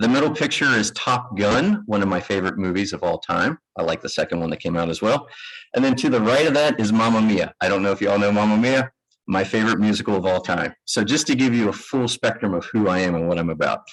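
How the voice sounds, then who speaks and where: Delivered at a very fast pace, the speech carries ordinary pitch variation. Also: man, fairly low pitch for a man. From US South, Kentucky. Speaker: managing director of construction firm, architect. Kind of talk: conference presentation. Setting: lecture room with live audience. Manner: casual, self-deprecating with hesitations.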